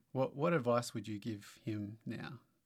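With an Australian accent, a man speaks using ordinary pitch variation. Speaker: church co-host. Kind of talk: casual interview.

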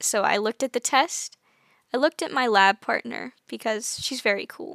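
In a very clean recording with a silent background and a dry, close sound with no echo, a woman with an American accent speaks at a moderate pace in a high pitch, her tone bright and sharp and her intonation lively. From United States. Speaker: podcast host. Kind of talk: casual solo podcast talk. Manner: chatty, laughs often.

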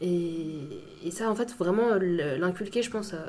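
The voice shows ordinary pitch variation. Noticeable background noise runs underneath. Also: woman. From Paris suburbs, France (Saint-Maur). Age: 20s. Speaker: law student. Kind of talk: casual chat.

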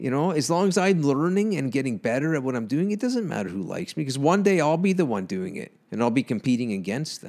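Speaking very fast with hardly any pauses, a man with a Canadian accent uses a fairly high pitch and very wide pitch swings. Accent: Canadian accent, noticeable. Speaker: comedian and electrician. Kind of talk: casual chat. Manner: sounds amused and annoyed at once.

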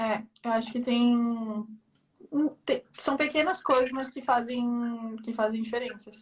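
A woman speaks with a high pitch at a fairly slow pace. Her speech has long, frequent pauses. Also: fairly even intonation. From Brazil, São Paulo (east zone). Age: 20s. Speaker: Brazilian expat living in France. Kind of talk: casual interview chat. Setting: Instagram live video call.

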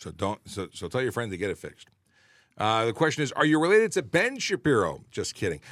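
Speaking at a very fast pace, a man's voice swings very widely in pitch and carries vocal fry. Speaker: police officer hosting traffic Q&A show. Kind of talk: casual chat, live Q&A. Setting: live stream with online viewers. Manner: animated, joking, talkative.

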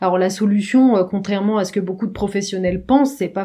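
This is a woman's voice at a medium pitch. Her intonation doesn't vary much and stays fairly even. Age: 30s. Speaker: marketing project manager. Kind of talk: casual chat. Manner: halting.

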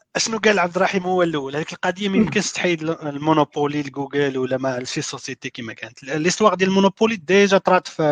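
A man talks in a plain, everyday voice, fairly high in pitch with ordinary pitch variation. His pace is fairly quick, and the sound is dry and close with no echo. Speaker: software developer. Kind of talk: casual panel discussion.

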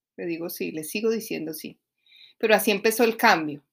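The speaker is a woman. Her pitch is medium. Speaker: life coach. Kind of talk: solo podcast monologue. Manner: halting.

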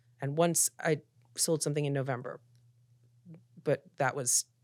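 On a very clean recording with a silent background, a woman speaks at a moderate pace in a very deep, low pitch with monotone, flat intonation, the sound dry and close with no echo. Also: long, frequent pauses. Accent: American. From US Northeast, Philadelphia. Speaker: TV showrunner and producer. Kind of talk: interview conversation. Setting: podcast interview.

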